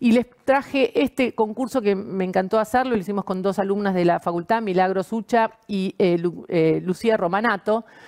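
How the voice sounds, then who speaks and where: A plain, everyday voice from a woman, medium-pitched, at a moderate pace with ordinary pitch variation, hardly any pauses, and a quiet background. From Argentina. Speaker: architect. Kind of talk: presentation. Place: home room. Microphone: webcam.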